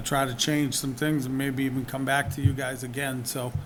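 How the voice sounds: A man with a medium-pitched, fairly bright voice speaks at a moderate pace with fairly even intonation. Room echo can be heard.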